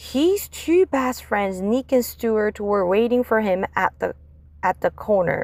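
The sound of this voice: A woman's slow, lively voice at a medium pitch with a slightly mellow tone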